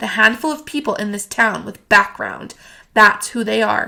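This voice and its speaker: Woman's raspy, put-on character voice at a medium pitch and moderate pace, with ordinary pitch variation and big swings in loudness. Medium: read story. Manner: crisp, composed.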